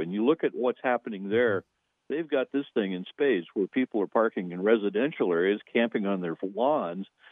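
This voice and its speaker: A man with an American accent has an unremarkable speaking voice. He talks at a moderate pace with lively intonation. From Montana, US. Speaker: caller. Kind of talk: call-in discussion. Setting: phone call.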